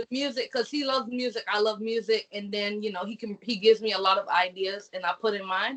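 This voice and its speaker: A woman talks very fast at a fairly high pitch, with hardly any pauses. Her intonation stays fairly even. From Barbados. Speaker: singer. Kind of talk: interview.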